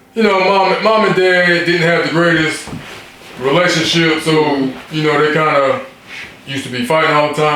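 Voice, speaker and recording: With an American accent and ordinary pitch variation, a man talks over noticeable background noise and audible room echo. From US South (South Carolina), born New York. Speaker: podcast guest. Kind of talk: casual interview. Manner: halting, repetitive.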